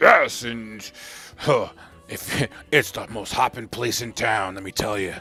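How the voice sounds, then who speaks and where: Using a gruff, put-on character voice at a medium pitch, a man talks fairly slowly. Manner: hearty.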